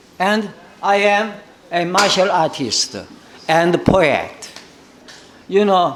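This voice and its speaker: In a Korean accent, a man speaks with a high pitch. The recording carries audible room echo and noticeable background noise. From South Korea. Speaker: professor. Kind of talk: conference keynote speech. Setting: conference. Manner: halting, many fillers.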